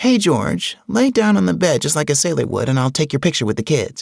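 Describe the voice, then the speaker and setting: Putting on a character voice, a man speaks fairly quickly at a fairly high pitch with very wide pitch swings. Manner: chirpy, sightseeing tourist.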